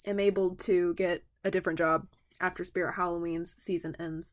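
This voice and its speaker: With a slight Southern US accent, a woman speaks at a moderate pace in a bright, sharp tone at a medium pitch. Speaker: toy collector YouTuber. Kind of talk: product review. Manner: casual, rambling with fillers.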